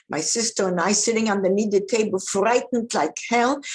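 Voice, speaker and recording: With a Polish accent, a woman is talking. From Poland (now western Ukraine). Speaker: Holocaust survivor. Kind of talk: testimony. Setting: school talk to students.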